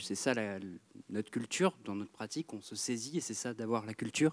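Lively intonation marks this man's speech at a moderate pace. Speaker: theatre director. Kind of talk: audience question at a public debate. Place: hall.

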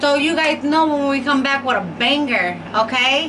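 A woman's raised, projected voice at a moderate pace, with ordinary pitch variation and noticeable background noise. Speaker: mukbang vlogger. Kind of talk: casual vlog chat. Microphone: camera far.

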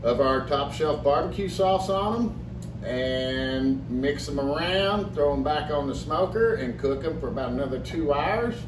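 There is noticeable background noise as a man speaks at a fairly slow pace with ordinary pitch variation. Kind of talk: tutorial. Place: kitchen. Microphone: camera far.

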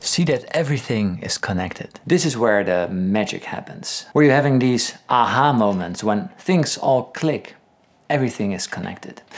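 The man's pitch swings very widely. He keeps to a moderate pace. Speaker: guitar teacher. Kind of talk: tutorial. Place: home room.

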